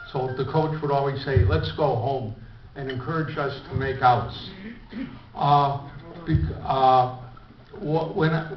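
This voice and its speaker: In an American accent, a man with a fairly high pitch speaks at a very slow pace with ordinary pitch variation, amid noticeable background noise and audible room echo. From US Midwest, Chicago. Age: 70s. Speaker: club member giving biography talk. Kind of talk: autobiographical speech. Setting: breakfast meeting with audience. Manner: halting.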